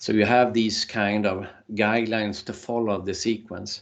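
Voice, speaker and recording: Against a quiet background, a man with a non-native accent speaks at a fairly slow pace. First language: not English. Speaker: workshop trainer. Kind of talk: online workshop lecture. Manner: halting, many repetitions and fillers.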